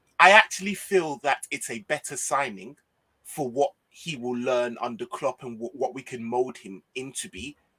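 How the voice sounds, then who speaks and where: A man with a northwest English accent speaks at a moderate pace and a medium pitch, his intonation lively. His tone is bright and sharp, his loudness swings widely, and the sound is dry and close with no echo. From northwest England. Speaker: football YouTuber. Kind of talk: casual chat.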